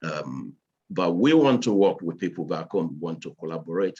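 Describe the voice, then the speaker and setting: Very deep, low male pitch. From Nigeria, Lagos. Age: 60s. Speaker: engineer and business owner. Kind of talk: speech at virtual event. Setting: video call. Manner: halting, many fillers.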